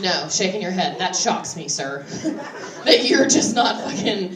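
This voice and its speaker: A woman with an American accent at a moderate pace, her pitch swinging very widely over noticeable background noise. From West Virginia, Appalachia. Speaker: stand-up comedian. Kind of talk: live stand-up comedy set. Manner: conversational, crowd-interactive, sardonic.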